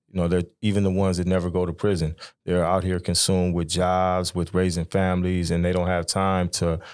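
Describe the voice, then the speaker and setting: Speaking fairly quickly with an American accent, a man has a very deep, low pitch, a monotone, flat intonation and very even loudness in a very clean recording with a silent background. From Sacramento, California. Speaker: formerly incarcerated man. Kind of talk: podcast interview.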